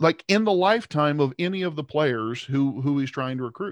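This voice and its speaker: A man's ordinary speaking voice, fairly high-pitched, with lively intonation at a moderate pace over a quiet background. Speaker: sports podcast co-host. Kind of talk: casual chat.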